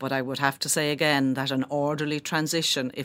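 At a fairly quick pace, a woman with a Kilkenny Irish accent speaks in a very deep, low voice with monotone, flat intonation. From Ireland, Kilkenny. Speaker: company chief executive. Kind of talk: interview.

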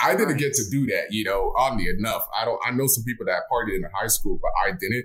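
Over noticeable background noise, a man with an American accent talks very fast with hardly any pauses. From US South, Miami, Florida. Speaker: film director and actor. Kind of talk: casual interview chat.

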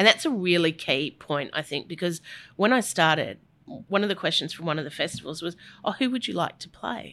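With an Australian accent, a woman talks at a moderate pace in a fairly low pitch, her intonation lively and the recording very clean with a silent background. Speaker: music industry executive. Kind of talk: interview conversation.

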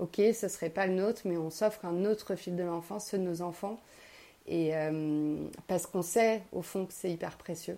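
In a very clean recording with a silent background, a woman with a dark, mellow tone speaks at a moderate pace with fairly even intonation. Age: 30s. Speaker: writer sharing personal voice notes. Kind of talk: personal monologue voice note. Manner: hesitant, many fillers and repetitions.

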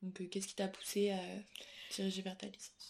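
Somewhat breathy, a woman with a dark, mellow tone speaks at a moderate pace. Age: 20s. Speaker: university student. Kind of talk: interview. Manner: hesitant with many fillers.

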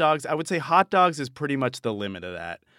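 A man with a Boston accent at a fairly high pitch, on a very clean recording with a silent background and a dry, close sound with no echo. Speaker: radio reporter. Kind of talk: interview.

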